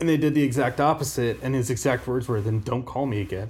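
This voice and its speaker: A man's medium-pitched voice with an American accent, very fast pace and ordinary pitch variation. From Omaha, Nebraska. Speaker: college football podcast co-host. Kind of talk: casual chat.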